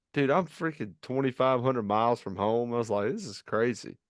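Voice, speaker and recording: Speaking at a fairly quick pace, a man with a Virginia accent uses a medium pitch and ordinary pitch variation, recorded dry and close with no echo against a quiet background. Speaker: podcast host. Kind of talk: casual podcast conversation. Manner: halting, many fillers.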